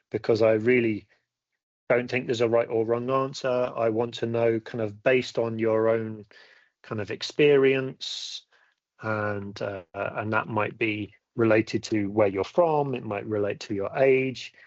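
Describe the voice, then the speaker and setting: Here a man talks with a British accent at a medium pitch. His pace is fairly slow and his intonation fairly even. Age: 50s. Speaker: academic skills teacher. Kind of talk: webinar lecture. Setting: online webinar. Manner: halting, many fillers.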